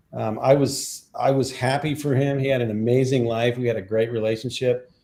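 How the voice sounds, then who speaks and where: The voice is dark, mellow and somewhat breathy, moving at a moderate pace. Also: man. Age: 60s. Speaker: composer and sound healer. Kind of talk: interview.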